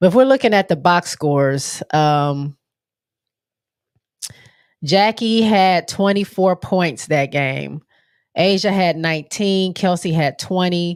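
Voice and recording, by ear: A woman speaks slowly at a fairly low pitch, nasal but with a clear, smooth tone and ordinary pitch variation. The recording is very clean, with a silent background.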